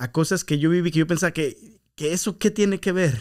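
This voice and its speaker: The voice belongs to a man with ordinary pitch variation. The recording is very clean, with a silent background. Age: 30s. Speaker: podcast host, church minister. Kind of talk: casual chat. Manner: code-switching, hesitant with fillers.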